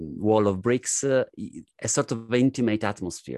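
Recorded dry and close with no echo, a man speaks with a strong Italian accent at a fairly low pitch. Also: quiet background. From Italy. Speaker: comedian. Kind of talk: casual chat.

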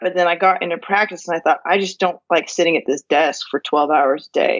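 A woman's normal speaking voice in an American accent, at medium pitch with ordinary pitch variation and a fairly quick pace. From California. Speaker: law professor and farmer. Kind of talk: interview conversation.

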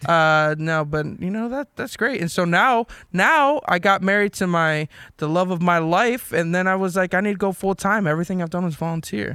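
A man with a high pitch and a bright, sharp tone talks at a moderate pace with ordinary pitch variation. The recording is very clean, with a silent background. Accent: American. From US Northeast, South Jersey. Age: 20s. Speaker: podcast host, youth pastor. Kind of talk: casual chat. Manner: animated.

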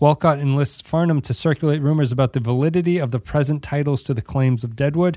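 A man talks at a fairly quick pace in a plain, everyday voice with ordinary pitch variation, the sound dry and close with no echo on a very clean recording with a silent background. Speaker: podcast host. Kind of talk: casual podcast chat. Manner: joking, laughs often.

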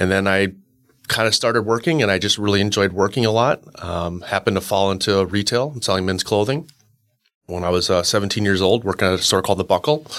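Very fast speech from a man with a Canadian accent, fairly low in pitch with ordinary pitch variation, in a very clean recording over a silent background. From Canada, Winnipeg. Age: 40s. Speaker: real estate broker. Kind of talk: interview.

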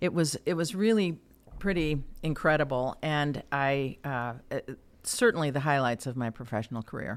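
In a very clean recording with a silent background, a woman with an American accent speaks at a moderate pace with a very deep, low pitch and lively intonation. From US Midwest, Chicago area. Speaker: former mayor and chamber of commerce president. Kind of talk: interview.

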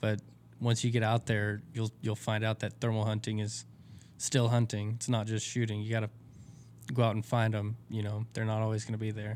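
Rather quick speech in a flat monotone. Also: man. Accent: Texan. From Texas. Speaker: optics company representative. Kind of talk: casual interview.

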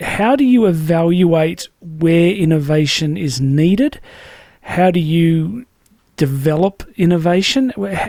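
A man's high-pitched voice with an Australian accent, lively intonation and a dark, mellow tone. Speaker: podcast host. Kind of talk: interview. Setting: studio.

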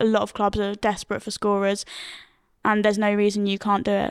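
Speaking at a very fast pace and medium pitch, a woman is heard on a very clean recording with a silent background. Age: 20s. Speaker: wheelchair cricket player. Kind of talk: casual chat.

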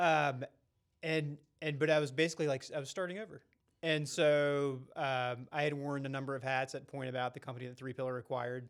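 Fairly high-pitched, a man talks at a fairly quick pace with fairly even intonation in a plain, everyday voice. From North Carolina. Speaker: podcast co-host. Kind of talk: casual chat.

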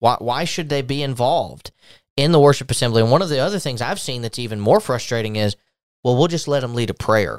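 A man at a medium pitch talks at a very fast pace with lively intonation on a very clean recording with a silent background. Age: 20s. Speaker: podcast host, church minister. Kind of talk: casual religious discussion.

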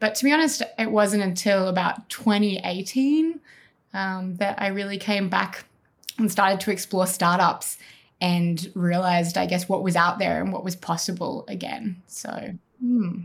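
Somewhat breathy, a woman with an Australian accent talks at a moderate pace with ordinary pitch variation. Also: medium pitch for a woman. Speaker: health tech community founder, former medic. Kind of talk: interview.

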